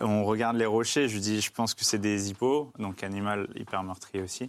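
At a moderate pace, a man talks at a fairly low pitch in an unremarkable speaking voice. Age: 30s. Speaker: endurance cyclist and adventurer. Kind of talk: casual chat.

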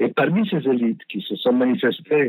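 A man keeps a moderate pace, his intonation lively throughout. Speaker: former ambassador. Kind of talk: interview. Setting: phone call. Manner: halting, many repetitions and hesitations.

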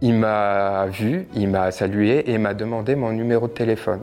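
Music plays in the background as a man talks at a fairly slow pace. His voice is fairly low with fairly even intonation. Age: 20s. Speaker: abuse survivor sharing his story. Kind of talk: testimony.

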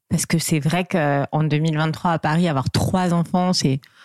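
The recording is very clean, with a silent background and a dry, close sound with no echo. A woman speaks at a very slow pace with ordinary pitch variation. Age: 40s. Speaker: divorced mother of three. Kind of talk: interview testimony. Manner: halting, frequent hesitations.

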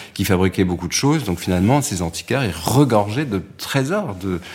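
Very deep, low male voice, its pitch varying an ordinary amount. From Nice, southern France. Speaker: interior architect. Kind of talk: interview. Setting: his office in Paris. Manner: halting, many repetitions.

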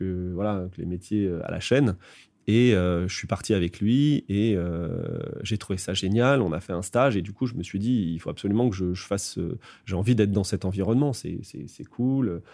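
A man's fairly low voice, dark and mellow in tone, with ordinary pitch variation at a moderate pace on a very clean recording with a silent background. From Paris suburbs, France. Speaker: advertising creative director. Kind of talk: interview. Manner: hesitant, many fillers.

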